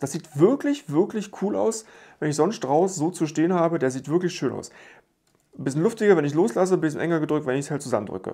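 A man speaks at a fairly quick pace with a fairly high pitch and very wide pitch swings. His tone is dark and mellow over a quiet background. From Germany, rural village. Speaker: YouTube Lego reviewer; toy reviewer. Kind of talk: product review video. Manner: casual, chatty. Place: home room.

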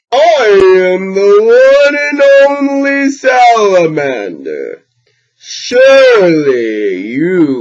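In a put-on character voice pitched high, a man talks at a very slow pace with long, frequent pauses.

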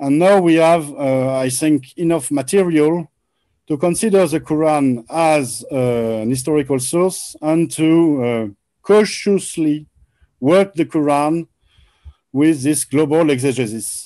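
Against a quiet background, a man with a French accent and a dark, mellow tone speaks at a fairly slow pace with ordinary pitch variation. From France. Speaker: researcher presenting Quran scholarship. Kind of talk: presentation lecture. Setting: video call. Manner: halting. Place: home room. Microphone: video call.

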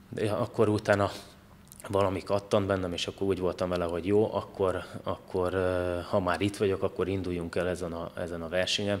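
A man talks at a fairly quick pace with a very deep, low pitch. His intonation is monotone and flat. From Hungary. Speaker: competitive judoka; podcast guest. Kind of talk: casual interview. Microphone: studio mic.

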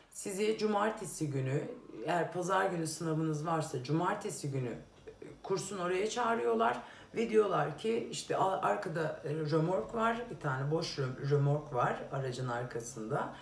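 A woman speaks at a moderate pace in a low pitch with vocal fry and lively intonation. Faint background noise is present.

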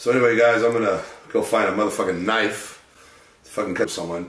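A man's voice carries audible room echo. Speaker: fitness vlogger. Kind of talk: casual vlog chat.

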